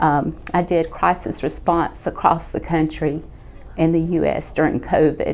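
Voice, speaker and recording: A woman speaks at a fairly slow pace with a Southern US accent. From Georgia, US. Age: 50s. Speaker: critical care nurse. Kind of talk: patient testimonial.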